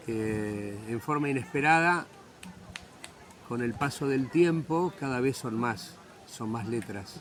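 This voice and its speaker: A man at a very slow pace, medium in pitch, with lively intonation and long, frequent pauses. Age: 60s. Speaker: writer. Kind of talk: interview.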